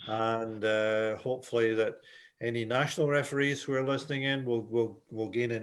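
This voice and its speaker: At a moderate pace, a man speaks with a Scottish accent. His pitch is medium and his intonation fairly even. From Scotland. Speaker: volleyball referee instructor. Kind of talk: webinar presentation. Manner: hesitant, repeating words.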